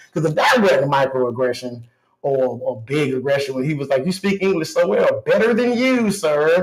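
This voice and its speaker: Here a man uses a normal speaking voice at a fairly high pitch. His pace is moderate. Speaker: radio show co-host and commentator. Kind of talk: live radio talk show rant.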